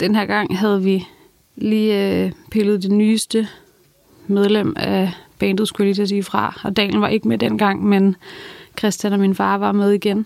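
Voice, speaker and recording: A woman speaks in an ordinary speaking voice at a medium pitch, with fairly even intonation and very even loudness. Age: 20s. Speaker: cancer patient sharing her story. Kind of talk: personal testimony.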